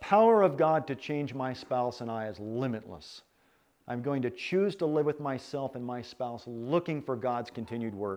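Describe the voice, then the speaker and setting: At a moderate pace, a man with an ordinary speaking voice talks in a medium pitch with lively intonation against a quiet background. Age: 40s. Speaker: retreat speaker on marriage. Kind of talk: sermon-style talk.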